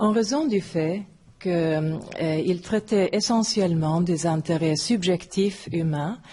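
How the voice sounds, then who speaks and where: A woman with a non-native accent speaks at a very slow pace, her fairly low voice dark, mellow, and somewhat breathy. Her pitch varies by an ordinary amount. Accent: foreign accent in French. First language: not French (third language or later) (speaking French). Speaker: philosophy professor. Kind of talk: lecture. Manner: halting.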